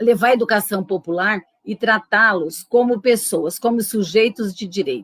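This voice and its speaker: A woman's medium-pitched voice at a moderate pace, ordinary pitch variation, dry, close sound with no echo. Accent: São Paulo interior. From interior of São Paulo state, Brazil. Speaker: retired educator, popular education worker. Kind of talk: interview.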